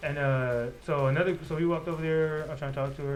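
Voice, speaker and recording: A man's mumbling at a medium pitch, with fairly even intonation and audible room echo. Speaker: podcast co-host. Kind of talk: casual chat. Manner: fast, mumbling.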